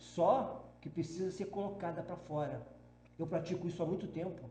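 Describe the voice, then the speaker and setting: A man at a moderate pace, with audible room echo. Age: 60s. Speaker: spiritual medium. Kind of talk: podcast interview. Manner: halting, with many false starts.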